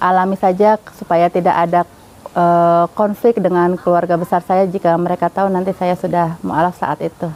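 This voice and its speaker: Her pitch is fairly low and her intonation monotone and flat. The woman keeps a moderate pace, and the sound is dry and close with no echo. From Jakarta, Indonesia. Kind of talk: testimony. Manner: casual, with hesitations.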